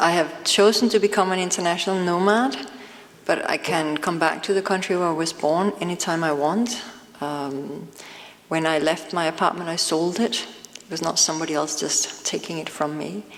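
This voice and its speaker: A woman with a Danish accent, fairly low in pitch, at a moderate pace with ordinary pitch variation, over noticeable background noise. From Denmark. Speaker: author. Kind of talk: panel discussion.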